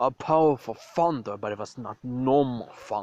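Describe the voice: Plain reading aloud, its pitch shifting in an ordinary way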